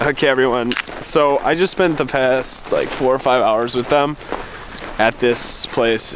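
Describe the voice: A man talks at a medium pitch. Background noise is clearly audible.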